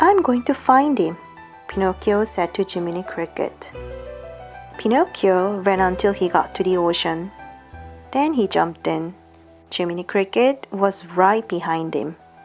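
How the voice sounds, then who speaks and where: Over music in the background, a woman speaks at a medium pitch and a fairly slow pace with a calm tone. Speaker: English teacher. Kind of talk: bedtime storybook reading. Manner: soft, calm.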